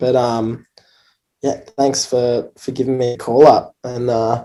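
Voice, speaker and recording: Speaking at a fairly slow pace, a man with an Australian accent has a dark, mellow tone. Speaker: pro surfer. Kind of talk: live stream interview. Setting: in quarantine, remote. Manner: halting.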